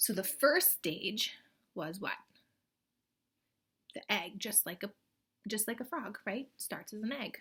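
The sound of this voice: A woman's medium-pitched voice, fairly bright in tone with a slightly husky edge, slow in pace, with long, frequent pauses and lively intonation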